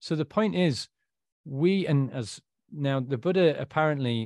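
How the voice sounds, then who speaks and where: A man speaks with a northern English accent. The sound is dry and close with no echo, on a very clean recording with a silent background. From northern England. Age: 40s. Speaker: author and recovered alcoholic. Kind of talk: interview, personal life story.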